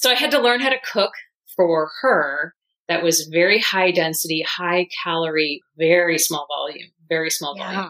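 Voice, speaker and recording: A woman talks at a moderate pace in a normal speaking voice, pitched fairly low. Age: 50s. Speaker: weight loss program client. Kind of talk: interview testimony.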